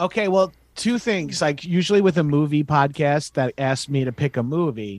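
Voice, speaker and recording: A man with an American accent and an ordinary speaking voice speaks at a moderate pace, with a fairly high pitch and ordinary pitch variation, in a very clean recording with a silent background and a dry, close sound with no echo. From Long Island, New York. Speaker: comedian. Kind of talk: casual chat.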